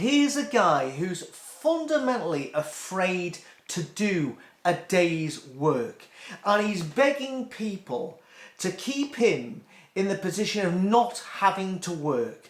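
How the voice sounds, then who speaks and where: Speaking very slowly with a British accent, a man uses a high pitch and very wide pitch swings. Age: 60s. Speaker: YouTube commentator. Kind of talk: casual rant. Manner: halting.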